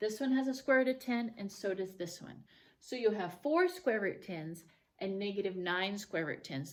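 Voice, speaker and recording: A woman with an unremarkable speaking voice talks at a moderate pace. Her medium-pitched delivery has lively intonation. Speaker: math teacher. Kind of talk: tutorial.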